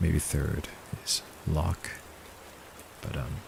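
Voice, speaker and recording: The speech comes at a very slow pace with fairly even intonation over noticeable background noise. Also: man. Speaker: streamer animating live. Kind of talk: casual livestream chat.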